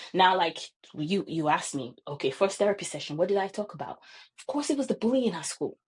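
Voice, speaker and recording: A woman talks at a very fast pace in a somewhat breathy voice at a medium pitch. Her pitch swings very widely. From Nigeria. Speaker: counseling psychologist. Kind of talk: casual chat. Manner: halting, many fillers.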